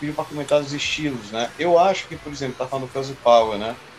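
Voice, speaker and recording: A man speaks very fast and fairly high, his pitch varying in an ordinary way, with noticeable background noise behind him. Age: 30s. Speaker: drummer. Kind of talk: casual chat.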